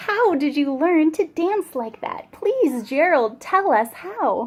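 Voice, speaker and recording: In a put-on character voice, a woman speaks fairly slowly at a high pitch, with very wide pitch swings. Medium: read story.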